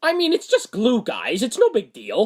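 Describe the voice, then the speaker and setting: Doing a cartoonish character voice, a man speaks at a moderate pace in an extremely high pitch with very wide pitch swings. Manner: talkative, rambling.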